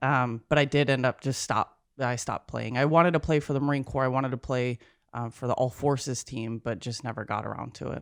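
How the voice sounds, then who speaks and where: The speaker has an American accent and a fairly quick pace. There are hardly any pauses. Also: very clean recording, silent background. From Minnesota. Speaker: Marine veteran and executive assistant. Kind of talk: casual chat.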